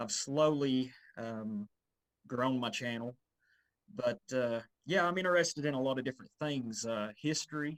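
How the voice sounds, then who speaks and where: With an Appalachian accent, the speaker leaves long, frequent pauses. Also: man, medium pitch for a man, ordinary pitch variation, moderate pace. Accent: Appalachian Southern US. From US South, northeast Tennessee, Appalachia. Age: 30s. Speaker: YouTuber and history enthusiast. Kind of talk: interview. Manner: halting, many fillers.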